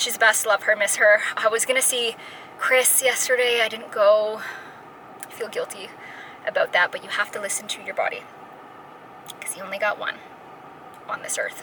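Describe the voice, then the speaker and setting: A woman speaks with big swings in loudness and long, frequent pauses. Noticeable background noise is present. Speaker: fitness vlogger. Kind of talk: casual vlog talk. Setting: jiu-jitsu gym. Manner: fast; animated.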